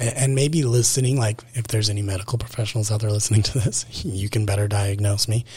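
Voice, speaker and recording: A man with an American accent and a fairly low pitch speaks in a somewhat breathy voice at a very fast pace, with fairly even intonation and hardly any pauses. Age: 20s. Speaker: podcast host. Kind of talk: personal monologue. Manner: casual, rambling with fillers.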